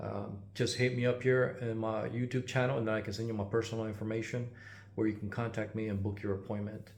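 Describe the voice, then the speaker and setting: With audible room echo, a man speaks very fast in a somewhat breathy, monotone voice with flat intonation at a medium pitch. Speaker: GPU repair technician and YouTuber. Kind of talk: casual channel update. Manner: halting, many filler words.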